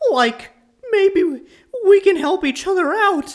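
In a put-on character voice, the speaker talks at a fairly slow pace with an extremely high pitch. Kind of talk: comic dub. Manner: drawling, casual.

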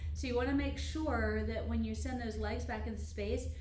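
A woman speaks in a very deep, low voice at a moderate pace. There is audible room echo and light background noise. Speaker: Pilates instructor. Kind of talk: tutorial. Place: gym. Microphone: camera far.

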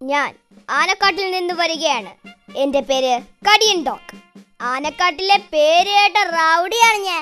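A cartoonish character voice moves at a fairly slow pace. Faint music plays in the background. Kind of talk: comic cartoon thug. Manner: boastful, blustering, threatening.

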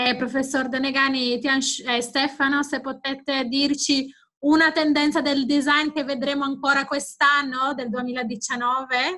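A woman's high, raised, projected voice, bright and sharp, flat and monotone, at a fairly slow pace against a quiet background. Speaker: webinar moderator. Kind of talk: webinar moderating, Q&A. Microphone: video call.

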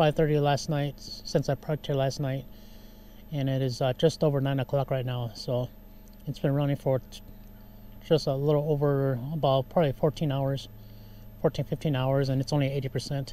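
Against light background noise, a man with a dark, mellow tone speaks in a monotone, flat way at a moderate pace with long, frequent pauses and a dry sound with no echo. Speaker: camping vlogger. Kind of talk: casual vlog chat. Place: car. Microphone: lapel.

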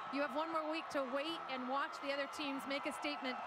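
A woman speaks in a raised, projected voice with high pitch and fairly even intonation, at a very fast pace. Loud background noise runs underneath. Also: dry sound with no echo. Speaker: sideline reporter. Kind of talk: sideline interview questions; interview question. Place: stadium. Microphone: handheld.

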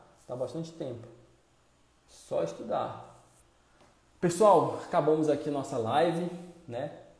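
This man has a fairly high pitch with ordinary pitch variation, speaking fairly slowly. There are long, frequent pauses and audible room echo. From Brazil, Pará (North). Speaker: military musician and online course creator; online course creator. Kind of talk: live stream Q&A. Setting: live stream. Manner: animated. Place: home room. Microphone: earbuds.

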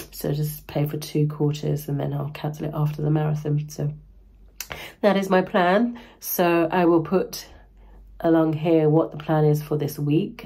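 A woman speaks with fairly even intonation and a somewhat breathy voice. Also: moderate pace. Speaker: running vlogger. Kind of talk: vlog. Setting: outdoors. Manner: casual.

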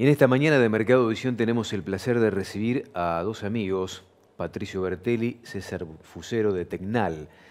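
This man has a plain, everyday voice, fairly low in pitch. He talks at a moderate pace with ordinary pitch variation. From Argentina. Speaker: farm TV host. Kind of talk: interview. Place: studio. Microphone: lapel.

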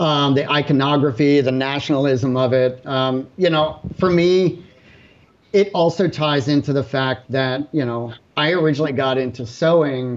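Man's voice at a moderate pace with ordinary pitch variation. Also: fairly high pitch for a man. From rural Pennsylvania, US. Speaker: artist; guest. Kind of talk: panel discussion. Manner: halting. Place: home room. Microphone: video call.

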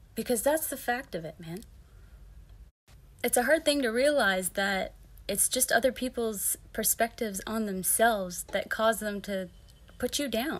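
Lively intonation at a fairly slow pace, broken by long, frequent pauses. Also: woman, fairly high pitch for a woman. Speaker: vlogger about hair loss. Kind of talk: motivational talk to camera. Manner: laid-back, hippy-like. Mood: upbeat, encouraging. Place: home room. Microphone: phone near.

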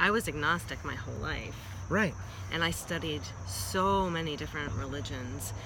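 Noticeable background noise and a dry sound with no echo. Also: woman. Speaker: vlog co-host. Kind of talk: casual vlog chat. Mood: earnest, reflective. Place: street. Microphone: phone near.

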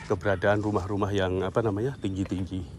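A man speaks at a fairly low pitch. The sound is dry with no echo, and there's noticeable background noise. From Indonesia. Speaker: travel vlogger. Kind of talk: walking vlog narration with street interviews. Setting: outdoors. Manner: casual, conversational. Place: street. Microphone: phone near.

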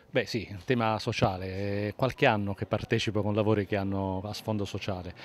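Over light background noise, with a dry sound with no echo, a man speaks at a fairly quick pace in a fairly low pitch and fairly even intonation. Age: 50s. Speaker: actor; actor interviewed at festival. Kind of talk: interview. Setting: festival, on camera. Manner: halting, with frequent fillers and repetitions. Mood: cheerful, warm. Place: street. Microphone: handheld.

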